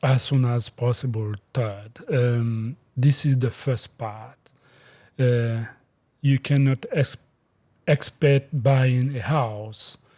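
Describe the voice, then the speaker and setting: Somewhat breathy and dark, mellow in tone, the voice comes at a very slow pace with a West African accent. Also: man, medium pitch for a man, fairly even intonation. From Guinea, West Africa. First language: Fulani. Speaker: real estate agent. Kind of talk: interview. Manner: halting, many fillers.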